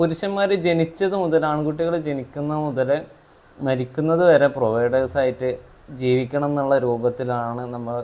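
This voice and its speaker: A man with a Malabar accent and a dark, mellow tone. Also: fairly high pitch for a man, ordinary pitch variation. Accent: Malappuram dialect, always comes through. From Malappuram, Kerala (Parappanangadi). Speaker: counselling psychologist and trainer. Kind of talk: casual interview chat.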